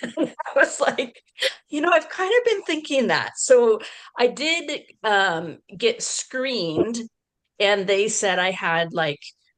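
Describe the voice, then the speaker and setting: Speaking at a very slow pace, a woman uses a high pitch with very wide pitch swings. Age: 60s. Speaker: panelist. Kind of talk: testimony. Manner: halting.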